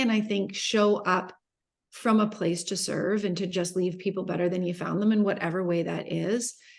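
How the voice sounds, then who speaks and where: A woman speaks at a moderate pace and a medium pitch over a quiet background. Hers is a plain, everyday voice. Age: 50s. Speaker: entrepreneur and business mentor. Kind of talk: interview.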